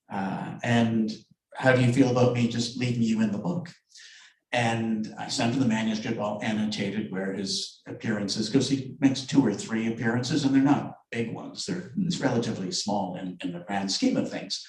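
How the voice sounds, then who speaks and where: Audible room echo surrounds a man speaking. His pitch is medium and his pace moderate. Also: ordinary pitch variation. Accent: Canadian. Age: 60s. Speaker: novelist. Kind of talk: book event discussion.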